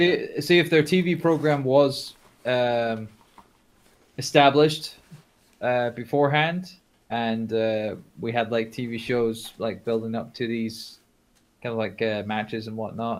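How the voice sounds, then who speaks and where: At a fairly slow pace, a man with a medium pitch and ordinary pitch variation speaks, leaving long, frequent pauses. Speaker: wrestling podcast co-host. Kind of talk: casual chat. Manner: halting, filler-heavy.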